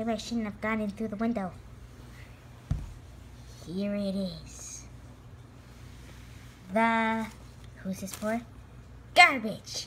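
A man in a cartoonish character voice with a high pitch and long, frequent pauses, over clear background noise. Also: fairly slow pace. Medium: puppet. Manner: muttering to himself, excitable.

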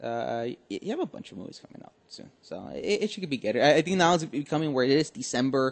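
A man with an American accent, fairly high-pitched for a man, with vocal fry, very wide pitch swings and a fairly quick pace with hardly any pauses. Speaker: podcast host. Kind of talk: casual chat.

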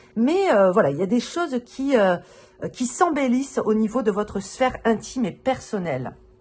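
A woman speaks at a moderate pace with a fairly high pitch. Her pitch swings very widely while music plays in the background. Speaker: tarot reader. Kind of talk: tarot reading video. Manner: casual, many hesitations.

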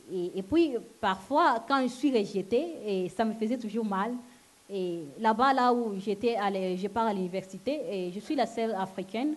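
A woman with a non-native accent speaks at a fairly slow pace in a fairly high pitch, with ordinary pitch variation. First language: not French (speaking French). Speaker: church member giving testimony. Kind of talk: testimony. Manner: halting. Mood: earnest, emotional. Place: hall. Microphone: handheld.

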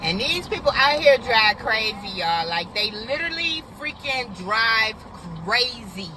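Speech comes at a fairly slow pace with a dry sound, no echo, and noticeable background noise. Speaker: driver vlogger. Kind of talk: casual vlog chat. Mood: annoyed at other drivers. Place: car. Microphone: phone near.

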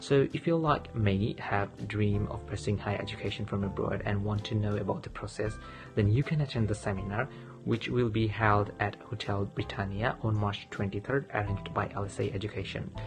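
A man talks in a fairly low pitch with ordinary pitch variation and a Bangladeshi accent. Clear music plays in the background. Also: fairly quick pace. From Sylhet, Bangladesh. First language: Bengali. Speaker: international graduate student. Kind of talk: testimonial talk to camera. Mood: friendly, calm, positive. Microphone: phone near.

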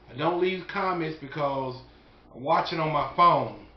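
Fairly quick male speech with fairly even intonation and audible room echo. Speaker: barbecue cook vlogger. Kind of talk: casual vlog chat. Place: home room. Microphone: phone near.

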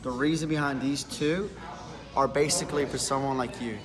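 A man's fairly high voice at a fairly quick pace, with clear music in the background. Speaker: shoe salesman. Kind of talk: in-store sales explanation. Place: shop. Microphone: phone near.

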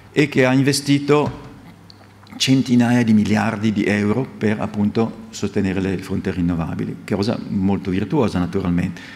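Here a man with fairly low pitch talks at a moderate pace with ordinary pitch variation. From Italy. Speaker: physics professor. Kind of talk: lecture. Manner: halting, repeats words. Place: hall. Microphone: podium.

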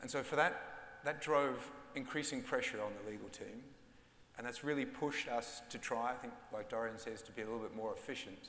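Fairly quick, fairly even speech from a man at medium pitch, bright and sharp in tone, with big swings in loudness and audible room echo. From Austria. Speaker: bank general counsel. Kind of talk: conference panel discussion. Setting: stage with live audience. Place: stage. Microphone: lapel.

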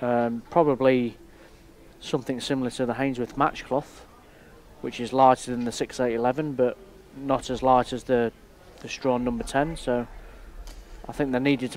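Amid noticeable background noise, a man with a medium pitch talks at a moderate pace in a flat monotone, leaving long, frequent pauses. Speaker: billiards player and co-commentator. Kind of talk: technical co-commentary, measured expert analysis. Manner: measured, explanatory, technical.

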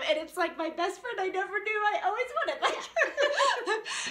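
Speaking in a raised, projected voice with a bright, sharp tone, a woman is heard with audible room echo. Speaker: vlog host. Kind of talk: casual vlog chat. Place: home room. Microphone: camera far.

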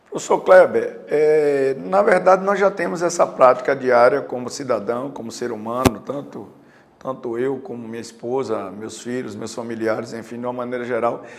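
A man at medium pitch and moderate pace, lively intonation, big swings in loudness, and noticeable background noise. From Juazeiro, Bahia, Brazil. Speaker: retired police colonel, mayoral pre-candidate. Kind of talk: interview.

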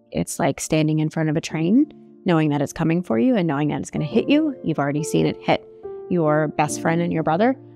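With clear music in the background, a woman speaks in a dry sound with no echo. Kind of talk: interview answer. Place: home room. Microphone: lapel.

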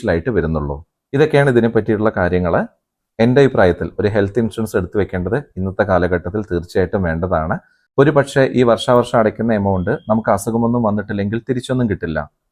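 A man speaks in an unremarkable speaking voice, fairly low in pitch with ordinary pitch variation. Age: 40s. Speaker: YouTube explainer host. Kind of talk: tutorial.

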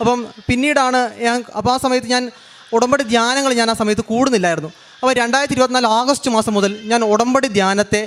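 A man's extremely high-pitched voice with very even loudness and fairly even intonation, over noticeable background noise. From Kerala, Kannur district. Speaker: testimony giver, churchgoer. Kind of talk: testimony.

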